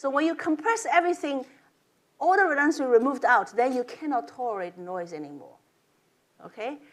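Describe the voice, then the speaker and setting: The speaker, with a non-native accent, talks at a fairly quick pace, using very wide pitch swings, big swings in loudness, and long, frequent pauses. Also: woman, high pitch for a woman. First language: not English. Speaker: professor. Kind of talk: lecture. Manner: halting.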